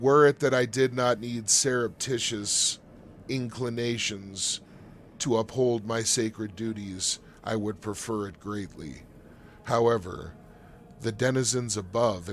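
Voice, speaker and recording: A wheezy, put-on character voice from a man, medium in pitch, fairly slow and fairly even in intonation, over clear background noise. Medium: actual play. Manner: humble, formal, measured.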